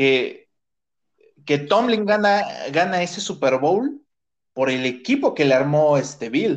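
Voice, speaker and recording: A man with a Mexican accent, very wide pitch swings, very even loudness and long, frequent pauses. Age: 30s. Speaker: sports podcast host. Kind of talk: casual chat.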